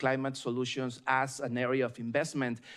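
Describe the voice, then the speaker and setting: This man talks at a moderate pace with a slight Mexican accent. His pitch sits in the medium range. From Mexico. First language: Spanish. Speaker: state environmental official, panelist. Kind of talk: panel discussion. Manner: hesitant fillers, repeats words.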